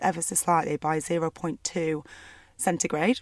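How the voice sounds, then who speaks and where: A woman with a Lancashire accent speaks at a fairly low pitch with fairly even intonation, in a very clean, dry and close recording with no echo and a silent background. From northwest England, Burnley. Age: 30s. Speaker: doctor. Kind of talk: casual chat.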